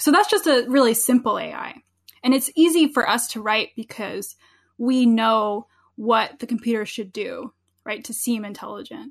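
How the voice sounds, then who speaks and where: A woman's high-pitched voice at a moderate pace, with big swings in loudness over a quiet background. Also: ordinary pitch variation. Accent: New Jersey. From US Northeast, New Jersey. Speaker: philosophy professor. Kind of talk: interview conversation.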